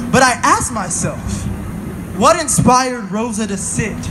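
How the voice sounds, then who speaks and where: With music in the background, a man with an American accent speaks at a very slow pace and an extremely high pitch. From Pacific Northwest, USA. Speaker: spoken word poet. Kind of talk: spoken word poetry performance. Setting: outdoors at a protest march.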